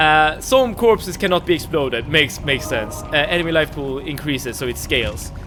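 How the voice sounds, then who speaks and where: Music plays in the background as a man with a Swedish accent speaks. His pitch is fairly high and his pace fairly quick. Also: lively intonation, hardly any pauses. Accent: non-British accent, Swedish. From Sweden. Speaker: gaming streamer. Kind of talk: live gameplay stream chat. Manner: hesitant, many repetitions and fillers.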